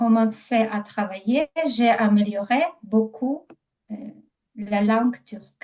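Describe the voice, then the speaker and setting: A woman with a non-native accent speaks very slowly in a fairly high, dark and mellow, somewhat breathy voice, with ordinary pitch variation, big swings in loudness and long, frequent pauses. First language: not French (speaking French). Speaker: language student. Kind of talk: language lesson conversation. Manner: halting.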